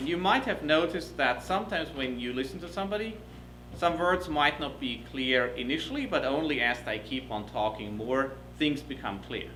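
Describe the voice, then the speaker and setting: With a German accent and lively intonation, a man talks through noticeable background noise and audible room echo. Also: medium pitch for a man. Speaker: professor. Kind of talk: lecture. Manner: fast.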